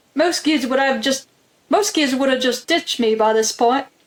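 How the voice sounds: At a moderate tempo, the speaker performs in a put-on character voice. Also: woman, high pitch for a woman, ordinary pitch variation.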